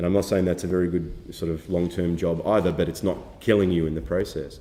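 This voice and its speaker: A man's very deep, low voice with a dark, mellow tone and an Australian accent, at a fairly quick pace. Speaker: documentary filmmaker. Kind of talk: workshop lecture. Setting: film festival workshop with audience. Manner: halting, many fillers and repetitions.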